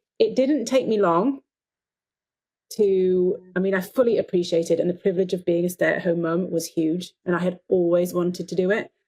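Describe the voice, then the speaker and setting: This woman has an English accent, a dark, mellow tone, a medium pitch and ordinary pitch variation, and she talks at a fairly quick pace. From England. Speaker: dentist and life coach. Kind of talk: podcast interview.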